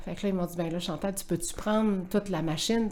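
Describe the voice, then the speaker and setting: Speaking at a very fast pace, a woman keeps her intonation fairly even. Her pitch is medium. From Quebec City. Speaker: sports event director. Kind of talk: interview.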